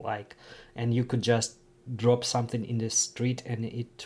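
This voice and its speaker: The speaker has a Ukrainian accent. The pace is fairly slow. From Ukraine. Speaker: streamer. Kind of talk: casual livestream chat. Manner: halting, many fillers and restarts.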